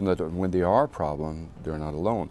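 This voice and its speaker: A man with a French accent speaks at a very fast pace in a dark, mellow tone. His pitch varies in an ordinary way. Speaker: obstetrician. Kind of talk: interview. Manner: animated.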